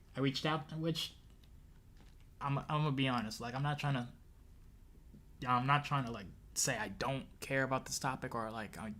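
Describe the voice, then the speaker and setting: With a bright, sharp tone and fairly even intonation, the speaker moves at a moderate pace, pausing long and often. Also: man, medium pitch for a man. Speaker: streamer, commentary host. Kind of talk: live stream commentary. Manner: halting, many fillers.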